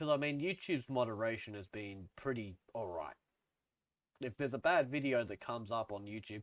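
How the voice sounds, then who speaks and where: A man at a medium pitch with an Australian accent, a fairly quick pace and lively intonation, in a dry, close sound with no echo. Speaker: music YouTuber. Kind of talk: casual opinion vlog. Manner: casual, filler-heavy.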